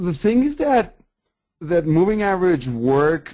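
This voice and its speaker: A man talks at a very slow pace. He speaks with a Colombian accent. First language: Spanish. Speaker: forex trader. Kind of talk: webinar presentation. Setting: online webinar. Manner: animated.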